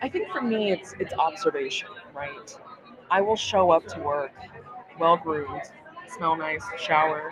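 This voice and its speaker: A woman at a fairly slow pace, with long, frequent pauses, big swings in loudness and crowd noise in the background. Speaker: animal health professional. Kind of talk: casual chat. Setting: live at a conference, noisy surroundings.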